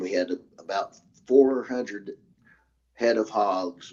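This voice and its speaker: A man is speaking. He talks with an Arkansas accent. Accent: Southern US (Arkansas). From US South, Arkansas (Hot Springs, Garland County). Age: 60s. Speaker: military veteran. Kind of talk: interview, eyewitness account. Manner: halting, many fillers and restarts.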